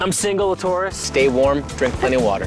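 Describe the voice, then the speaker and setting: A man's high-pitched voice in an upbeat, energetic tone, with music in the background. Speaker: TV game show host. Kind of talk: TV sports game show hosting.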